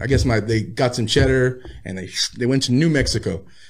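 Man with an American accent, medium pitch and a fairly quick pace. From Southeast Los Angeles area, California. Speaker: rapper. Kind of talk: casual chat.

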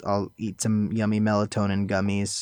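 This man has an American accent and a fairly low pitch. His pace is fairly slow. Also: dry, close sound with no echo. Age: young. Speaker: activist. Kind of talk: casual chat.

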